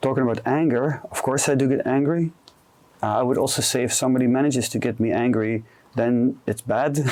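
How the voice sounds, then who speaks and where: With a Dutch accent, a man speaks at a fairly quick pace and medium pitch, his loudness very even and his intonation fairly even. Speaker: career coach. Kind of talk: interview conversation. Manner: calm with comfortable pauses.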